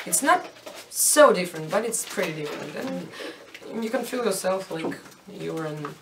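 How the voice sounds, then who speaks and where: The speaker talks at a fairly slow pace with lively intonation, over noticeable background noise and audible room echo. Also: woman. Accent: Russian. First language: Russian. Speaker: rock band member. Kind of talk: interview. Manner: halting, searching for words.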